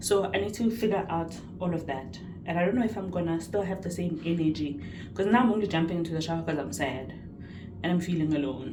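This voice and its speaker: Talking at a very fast pace, a woman has a fairly low pitch with ordinary variation. Audible room echo surrounds her voice. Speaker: vlogger and psychology student. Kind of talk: vlog monologue. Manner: loud and excitable.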